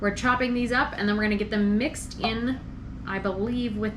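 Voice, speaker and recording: Noticeable background noise runs under this clip. A woman with a fairly high pitch speaks at a fairly quick pace. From rural Pennsylvania, USA. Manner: casual, cooking narration.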